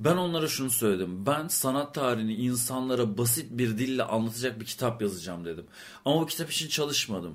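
An ordinary speaking voice with lively intonation at a fairly quick pace. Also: man, medium pitch for a man. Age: 30s. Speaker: art historian and podcast co-host. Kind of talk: casual chat.

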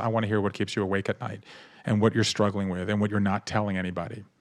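A man with an American accent at a very fast pace, fairly low in pitch, with fairly even intonation and a quiet background. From US South, Savannah, Georgia. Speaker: author. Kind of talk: interview.

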